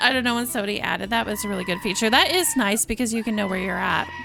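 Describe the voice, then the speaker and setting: A woman is shouting. Noticeable background noise sits behind her. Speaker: vtuber streamer. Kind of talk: casual live stream chat while gaming.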